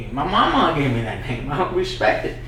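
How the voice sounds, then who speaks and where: A man with an American accent and fairly high pitch at a moderate pace, amid noticeable background noise and audible room echo. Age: 20s. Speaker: comedian. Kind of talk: casual chat. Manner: halting, repeats words.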